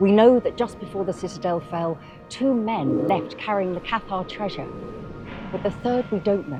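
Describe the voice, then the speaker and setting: Very wide pitch swings mark a woman's fairly quick speech, with music playing in the background. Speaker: novelist. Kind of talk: promotional talk about her novel.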